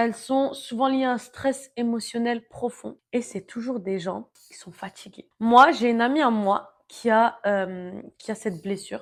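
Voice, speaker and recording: Speaking in an animated tone, a woman uses a fairly high voice with ordinary pitch variation. Her loudness swings widely. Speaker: self-help vlogger. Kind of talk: casual monologue.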